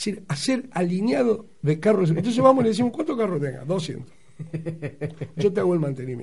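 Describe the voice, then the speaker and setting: A man with a Rioplatense accent, high-pitched, animated and fairly quick, with very wide pitch swings. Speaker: radio host. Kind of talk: casual chat.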